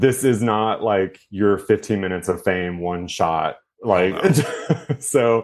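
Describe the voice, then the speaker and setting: At a fairly slow pace, a man speaks at a fairly low pitch with ordinary pitch variation. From Texas. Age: 30s. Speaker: sex educator and content creator. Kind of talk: casual interview chat. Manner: animated.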